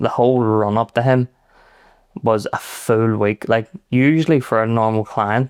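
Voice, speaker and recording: A man with a Belfast accent speaks at a medium pitch and a fairly slow pace, his intonation fairly even. His loudness stays very even, and the sound is dry and close with no echo. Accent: West Belfast. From Northern Ireland, West Belfast. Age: 30s. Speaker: private chef. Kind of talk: casual chat.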